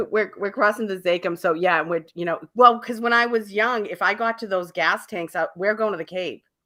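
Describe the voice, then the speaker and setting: With a Boston accent, a woman talks at a fairly quick pace and hardly pauses. Her medium-pitched voice is bright and sharp, with ordinary pitch variation. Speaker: radio talk show host. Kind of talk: radio interview, casual conversation.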